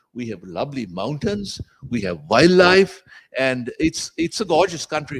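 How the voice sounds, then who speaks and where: With vocal fry and very wide pitch swings, the voice moves at a moderate pace, its sound dry and close with no echo. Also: man. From Sri Lanka. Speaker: law professor giving a guest lecture. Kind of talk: lecture.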